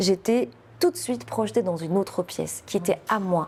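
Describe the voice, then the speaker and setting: A woman speaks at medium pitch with a dark, mellow tone. Her pitch swings very widely, and her pace is moderate. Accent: Moroccan. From Morocco. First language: Moroccan Arabic (speaking French). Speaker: poet and novelist. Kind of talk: interview. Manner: hesitant, many fillers.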